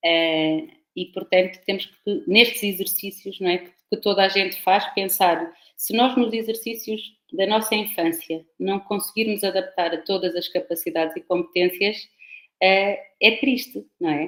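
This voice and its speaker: Fairly slow speech from a woman, medium in pitch, with ordinary pitch variation. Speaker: professor. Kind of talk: lecture.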